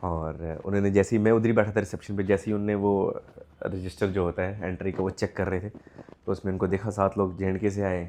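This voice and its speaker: At a fairly quick pace, a man with a dark, mellow tone and fairly low pitch speaks in a monotone, flat way. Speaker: vlogger and stage performer. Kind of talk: casual travel vlog.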